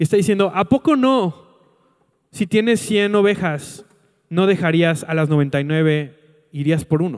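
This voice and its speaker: This man has a high pitch, an animated tone and a Mexican accent, with ordinary pitch variation. His loudness stays very even, and he takes long, frequent pauses. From Mexico, Colima. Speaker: pastor. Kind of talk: sermon.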